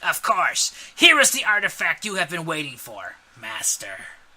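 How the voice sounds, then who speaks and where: A man puts on a character voice pitched high for a man. He talks at a moderate pace with big swings in loudness. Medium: read story. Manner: smug, sneering.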